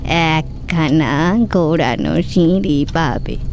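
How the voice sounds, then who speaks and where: A put-on character voice at middle pitch, very slow in pace, over clear background noise. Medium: audio drama.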